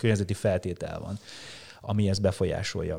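The recording is very clean and the background silent. A man talks at a moderate pace, his pitch fairly low. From rural Hungary. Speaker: long-distance cyclist and musician. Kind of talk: casual interview chat. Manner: halting, many repetitions.

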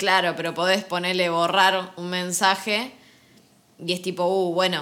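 The woman's voice sits at a medium pitch with a bright, sharp tone. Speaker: podcast co-host. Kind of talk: casual chat.

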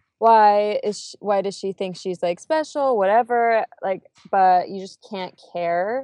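With an ordinary speaking voice, a woman talks at a fairly slow pace in a medium pitch and with ordinary pitch variation. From California. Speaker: social media marketer and blogger. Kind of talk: interview.

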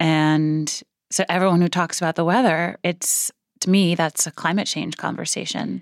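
A woman with an American accent has an ordinary speaking voice, fairly low in pitch. Her intonation is fairly even at a moderate pace, and the sound is dry and close with no echo. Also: very clean recording, silent background. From US Northeast, Brooklyn New York. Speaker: marine biologist and policy expert. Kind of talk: interview conversation. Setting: studio.

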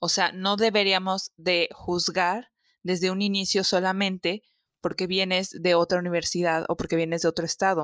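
A woman speaks at medium pitch and a moderate pace, in a monotone, flat intonation with very even loudness. The sound is dry and close, with no echo. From Xalapa, Veracruz, Mexico. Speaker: podcast host. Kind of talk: casual chat. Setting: video call.

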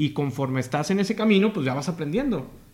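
With a northern Mexican accent, a man speaks at a high pitch. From Mexico, Matamoros, Tamaulipas. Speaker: podcast host. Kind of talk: casual interview chat.

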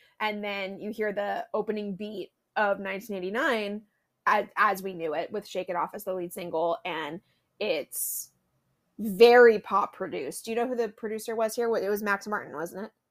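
A woman talks in a normal speaking voice at medium pitch, with ordinary pitch variation and a moderate pace. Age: 20s. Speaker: podcast co-host. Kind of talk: casual chat.

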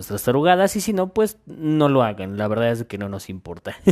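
A man with an unremarkable speaking voice and lively intonation talks at a moderate pace on a very clean recording with a silent background. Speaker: podcast host. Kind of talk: casual monologue.

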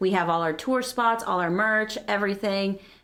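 On a very clean recording with a silent background, a woman talks in an unremarkable speaking voice at medium pitch with ordinary pitch variation. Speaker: craft maker. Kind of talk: casual chat. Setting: studio.

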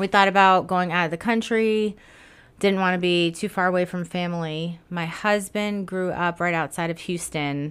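In a normal speaking voice, a woman with a fairly low pitch talks at a moderate pace with fairly even intonation, captured in a very clean recording with a silent background. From South Florida. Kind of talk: casual interview chat.

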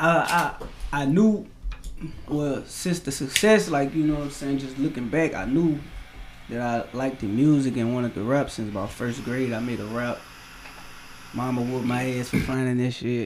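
The speaker has a Louisiana accent, a moderate pace, ordinary pitch variation and long, frequent pauses. Noticeable background noise and room echo are audible. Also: man, medium pitch for a man. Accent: Baton Rouge. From South Baton Rouge, Louisiana. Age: 20s. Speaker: rapper. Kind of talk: casual chat.

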